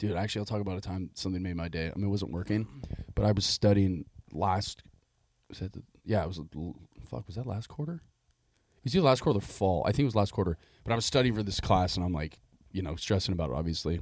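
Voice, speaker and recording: Very fast yet broken by long, frequent pauses, a man talks in a very deep, low voice. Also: ordinary pitch variation. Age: 20s. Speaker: podcast host. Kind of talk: casual chat. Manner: animated, profane.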